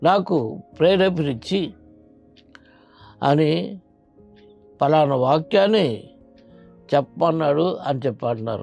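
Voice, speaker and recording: With music in the background, a man talks in a fairly high voice with lively intonation. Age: 70s. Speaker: pastor. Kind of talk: sermon.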